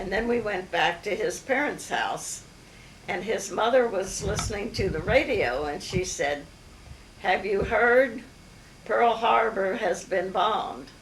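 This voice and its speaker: Lively intonation at a fairly slow pace, with audible room echo and noticeable background noise. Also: woman, medium pitch for a woman. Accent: American. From Maryland, US. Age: 80s+. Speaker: family elder recounting memories. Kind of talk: oral history interview. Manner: halting, many fillers.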